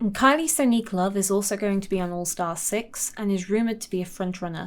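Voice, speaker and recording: The words come out mumbled at a very fast pace. Pitch varies in an ordinary way. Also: woman, medium pitch for a woman. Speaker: video essayist. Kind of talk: scripted narration; casual chat. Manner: mumbling.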